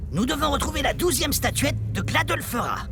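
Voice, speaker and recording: A man's put-on character voice at a fairly quick pace over loud background noise. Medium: game stream.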